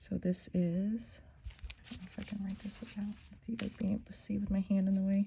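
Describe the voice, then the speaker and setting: Fairly quick and somewhat breathy, a woman's medium-pitched voice has a dark, mellow tone and big swings in loudness. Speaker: fountain pen ink reviewer. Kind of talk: casual tutorial-style review. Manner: soft-spoken; halting. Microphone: quiet.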